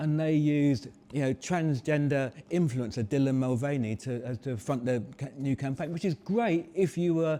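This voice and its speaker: With hardly any pauses, a man speaks in a dark, mellow tone at a fairly high pitch and with ordinary pitch variation. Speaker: marketing strategist. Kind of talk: live talk to audience. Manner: fast.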